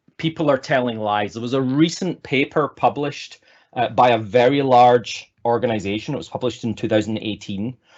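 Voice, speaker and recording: A man talks at a moderate pace with an American accent. His pitch is medium, with ordinary variation. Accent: Scottish with slight American tinge. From Scotland. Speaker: agile consultant and speaker. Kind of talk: online presentation talk. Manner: hesitant, many fillers.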